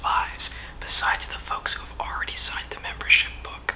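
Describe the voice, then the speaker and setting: Against noticeable background noise, a woman whispers at a moderate pace. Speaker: minister, Unitarian Universalist. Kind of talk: sermon-style talk on religious leadership. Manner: whispered.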